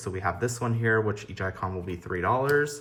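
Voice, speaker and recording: A man talks at a fairly quick pace in a fairly low pitch. Room echo is audible. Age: 20s. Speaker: budgeting YouTuber and small online shop owner. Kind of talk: casual vlog tutorial. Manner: casual, with frequent fillers.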